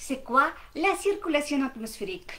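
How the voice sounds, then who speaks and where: A woman with a bright, sharp tone talks at a very slow pace, her pitch swinging very widely. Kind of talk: educational lesson to camera.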